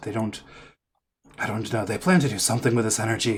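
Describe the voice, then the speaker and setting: Using a raspy, put-on character voice, a man talks at a medium pitch. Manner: bitter, resentful.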